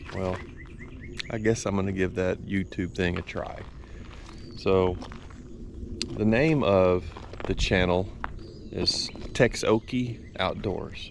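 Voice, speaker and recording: With a Texan accent, a man talks very slowly in a very deep, low pitch, using ordinary pitch variation and long, frequent pauses. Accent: Texan Southern US. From Texas. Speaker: business owner and outdoors channel host. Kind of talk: casual vlog talk to camera. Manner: hesitant with many fillers.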